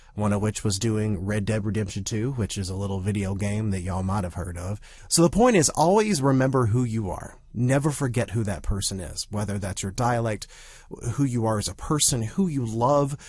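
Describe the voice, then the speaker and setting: Somewhat breathy, a man talks at a fairly quick pace with a fairly low pitch and ordinary pitch variation. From US South. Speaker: actor and podcast host. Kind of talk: casual podcast monologue.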